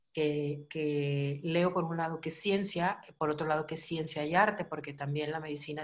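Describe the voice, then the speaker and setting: A woman talks at a moderate pace with hardly any pauses. Her pitch is very deep and low, and her intonation fairly even. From Mexico. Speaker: channel host; host interviewer. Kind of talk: interview conversation.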